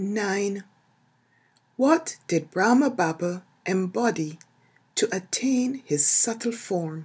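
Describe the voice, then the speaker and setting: Very slow and full of long, frequent pauses, a woman's somewhat breathy voice at medium pitch carries a calm, gentle tone and lively intonation. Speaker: audiobook narrator. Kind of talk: literary audiobook reading, spiritual text read aloud in calm, devotional tone. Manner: slow, calm, meditative, gentle and evenly paced with reverent pauses; soft-spoken, soothing.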